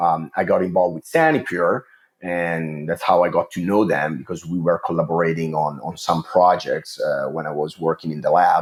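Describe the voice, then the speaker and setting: This voice belongs to a man. He speaks with an Italian accent. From Italy. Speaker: water treatment chemist. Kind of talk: interview. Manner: hesitant, many fillers.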